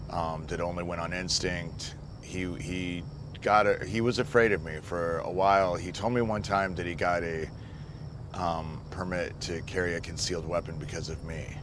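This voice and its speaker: A man's very deep, low voice with an American accent, fairly even intonation and a moderate pace, with audible room echo and noticeable background noise. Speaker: abuse survivor. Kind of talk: documentary interview.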